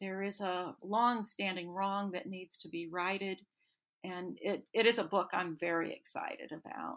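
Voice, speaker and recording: In an American accent, a woman with a plain, everyday voice talks at a moderate pace, her medium pitch held in fairly even intonation. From North Carolina foothills. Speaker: novelist. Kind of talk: interview.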